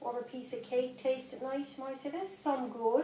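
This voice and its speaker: With a Newfoundland accent, a woman speaks at a moderate pace in a high pitch with fairly even intonation. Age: 50s. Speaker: grandmother. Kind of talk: interview.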